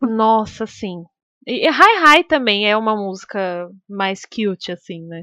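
A woman speaks at a very slow pace with a bright, sharp tone, fairly high pitch and lively intonation. Her loudness swings widely against a quiet background. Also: dry, close sound with no echo. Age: 20s. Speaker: podcast co-host, streamer. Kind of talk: casual chat.

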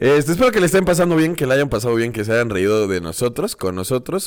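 Talking at a very fast pace with very wide pitch swings, a man speaks in a Mexican accent. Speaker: podcast co-host. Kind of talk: casual chat.

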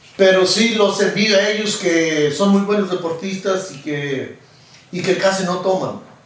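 A man's high-pitched voice at a fairly slow pace, with fairly even intonation, audible room echo and noticeable background noise. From rural Mexico. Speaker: charro and rodeo roper. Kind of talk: casual interview. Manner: halting, many fillers.

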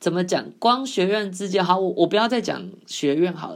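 A woman speaks on a very clean recording against a silent background. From Taiwan. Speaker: podcast host. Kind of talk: casual monologue. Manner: hesitant, many fillers.

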